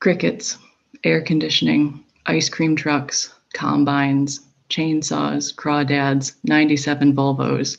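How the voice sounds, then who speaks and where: Very slow speech from a woman with an upstate New York accent. Her pitch is very deep and low, with fairly even intonation. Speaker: poet. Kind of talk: poetry reading.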